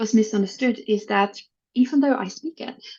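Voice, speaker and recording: A woman with a Dutch accent speaks in a fairly high voice. Her pace is moderate and her intonation fairly even. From Netherlands. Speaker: HR executive. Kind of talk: podcast interview.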